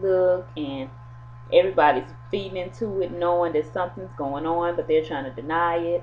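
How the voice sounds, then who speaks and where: A woman talks at a moderate pace. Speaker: soap opera reviewer. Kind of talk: episode recap.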